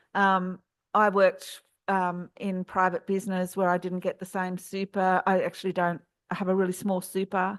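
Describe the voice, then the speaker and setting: Monotone, flat intonation in an Australian accent, with a dry, close sound, no echo and a quiet background. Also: woman, medium pitch for a woman, moderate pace. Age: 60s. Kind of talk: panel discussion. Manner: hesitant, many fillers.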